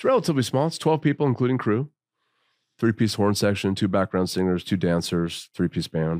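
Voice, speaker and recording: In an ordinary speaking voice, a man with a fairly low pitch talks at a fairly quick pace with lively intonation, recorded very cleanly against a silent background with a dry, close sound and no echo. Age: 50s. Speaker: rock singer-songwriter. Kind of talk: casual chat. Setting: studio.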